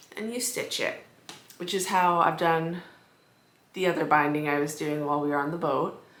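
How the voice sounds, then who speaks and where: A woman speaks at a moderate pace with fairly even intonation. Some room echo can be heard. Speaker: quilting vlogger. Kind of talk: casual vlog.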